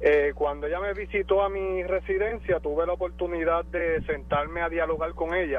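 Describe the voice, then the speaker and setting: At a moderate pace and with hardly any pauses, a man keeps talking. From Puerto Rico. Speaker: caller. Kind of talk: phone call-in.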